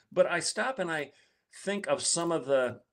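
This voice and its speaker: Captured in a very clean recording with a silent background, a man with an American accent talks at a moderate pace with lively intonation. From Michigan, rural blue-collar. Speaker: guest commentator. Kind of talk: political commentary talk.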